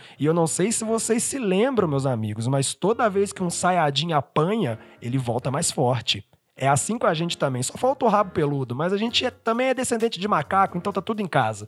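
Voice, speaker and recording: Fairly quick delivery with very wide pitch swings. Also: man. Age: 20s. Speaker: solo podcaster. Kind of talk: personal monologue.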